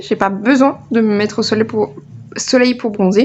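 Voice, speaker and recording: A fairly slow pace with ordinary pitch variation. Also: woman. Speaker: knitting youtuber. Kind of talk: casual chat. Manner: loud; hesitant, many fillers.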